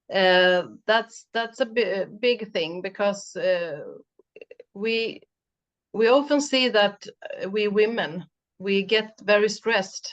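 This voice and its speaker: Speaking in a Swedish accent at a very slow pace, the voice uses ordinary pitch variation and long, frequent pauses. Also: woman, medium pitch for a woman. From Sweden. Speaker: mental coach. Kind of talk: interview chat. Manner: halting.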